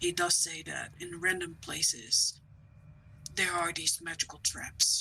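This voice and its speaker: Whispering at a moderate pace, a man puts on a character voice. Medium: actual play. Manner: grave, cautionary.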